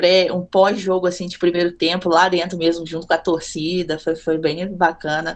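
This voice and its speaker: A woman speaks in a Minas Gerais accent. Her pitch is medium and her pace moderate. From Minas Gerais, Brazil (Juiz de Fora). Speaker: content creator and football fan. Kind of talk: casual podcast chat.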